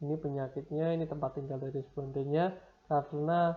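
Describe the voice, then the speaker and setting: Somewhat breathy and fairly high-pitched, a man speaks with monotone, flat intonation. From Semarang, Central Java, Indonesia. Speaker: university lecturer. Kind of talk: lecture.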